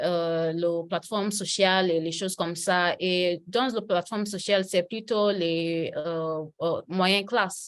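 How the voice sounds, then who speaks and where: A woman speaks very slowly at a medium pitch with fairly even intonation. She hardly pauses at all. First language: English (speaking French). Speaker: political analyst. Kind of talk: interview. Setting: video call. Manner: halting, many hesitations.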